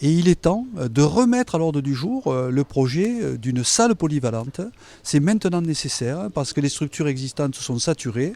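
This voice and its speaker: A man's fairly high pitch and dark, mellow tone, with very wide pitch swings at a moderate pace. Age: 60s. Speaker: mayoral candidate. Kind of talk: campaign interview. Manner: hesitant, many fillers.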